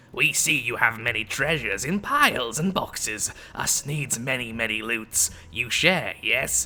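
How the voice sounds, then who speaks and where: A man speaks in a raspy, put-on character voice at a medium pitch and moderate pace. Background noise is clearly heard. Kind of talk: broken, simple grammar. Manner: greedy, wheedling.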